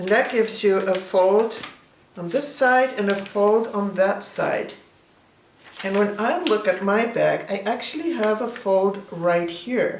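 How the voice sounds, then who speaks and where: Through audible room echo and noticeable background noise, a woman with a Swedish accent speaks fairly slowly at a fairly high pitch with ordinary pitch variation. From Sweden. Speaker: artist and teacher. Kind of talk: tutorial.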